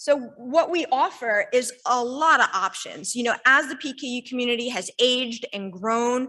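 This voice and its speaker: High-pitched female voice, raised and projected, with a bright, sharp tone. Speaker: industry representative. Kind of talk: sponsor presentation. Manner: loud.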